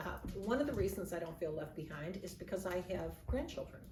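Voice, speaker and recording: A woman speaks over noticeable background noise. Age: 70s. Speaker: grandmother giving life advice. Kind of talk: casual advice talk to camera.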